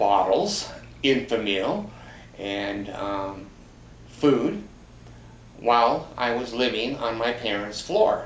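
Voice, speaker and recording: Audible room echo surrounds a man who speaks at a very slow pace in a medium pitch with ordinary pitch variation. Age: 70s. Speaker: vlogger. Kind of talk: personal storytelling monologue. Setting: home, in easy chair. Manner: hesitant, many fillers.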